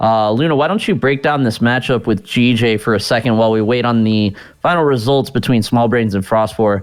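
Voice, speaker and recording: A man with an American accent at medium pitch, speaking at a fairly quick pace. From US South, Louisiana. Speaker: esports tournament caster. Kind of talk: live commentary.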